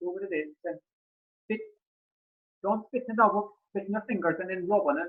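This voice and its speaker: A man with an Irish accent, high-pitched, at a fairly quick pace. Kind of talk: storytelling, folk tale told to an audience. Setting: online video call. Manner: casual, chatty.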